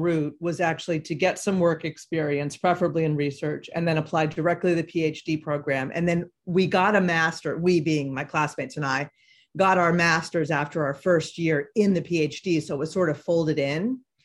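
Using a plain, everyday voice, a woman with an American accent and fairly low pitch talks at a moderate pace with hardly any pauses, in a very clean recording with a silent background. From Boston area. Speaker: clinical psychologist. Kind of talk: interview. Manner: many filler words.

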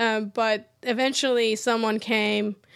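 A woman speaks with a Persian accent at a fairly high pitch. The recording is very clean, with a silent background. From Iran. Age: 30s. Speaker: structural engineer. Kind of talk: interview.

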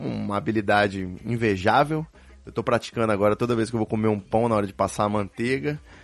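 A man's voice with music in the background. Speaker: podcast host. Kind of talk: casual chat.

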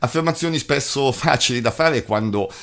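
A serious-toned man's voice with vocal fry and very wide pitch swings, on a very clean recording with a silent background. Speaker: news presenter and abuse survivor spokesperson. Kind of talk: news reading, formal read-out bulletin introduction. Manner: formal; steady, measured, serious newsreader delivery.

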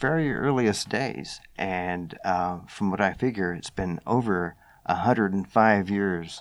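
A man with an American accent speaks in a plain, everyday voice at a fairly low pitch. He talks at a fairly slow pace with lively intonation against a quiet background. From US South, Knoxville, Tennessee. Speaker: amateur radio organization staff. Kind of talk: interview.

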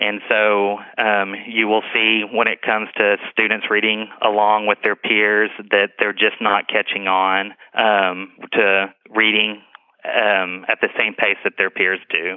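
A man speaks very slowly in a fairly low, flat monotone, his loudness staying very even throughout. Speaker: school assistant director. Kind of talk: interview answers. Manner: halting, many ums.

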